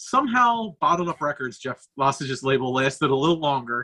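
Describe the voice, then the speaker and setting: A man speaks with an American accent in a bright, sharp tone. His moderate pace and ordinary pitch variation come through with a dry, close sound with no echo. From Philadelphia area. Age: 40s. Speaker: hardcore band guitarist. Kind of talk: casual chat.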